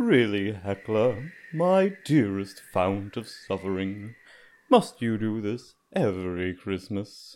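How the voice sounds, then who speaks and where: A man's put-on character voice, fairly low in pitch and fairly slow, on a very clean recording with a silent background. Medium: audio drama. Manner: wry, genteel.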